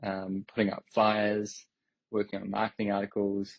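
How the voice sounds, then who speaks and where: A man with a New Zealand accent speaks in a fairly low pitch. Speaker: crypto company executive. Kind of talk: interview on audio space.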